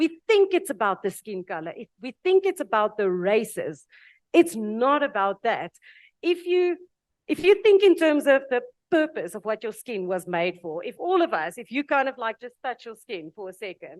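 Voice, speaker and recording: In a South African accent, the speaker swings widely in both pitch and loudness, heard dry and close with no echo against a quiet background. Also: woman, high pitch for a woman, moderate pace. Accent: Afrikaans South African. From South Africa (Afrikaans). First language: Afrikaans. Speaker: panel speaker. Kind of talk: panel discussion.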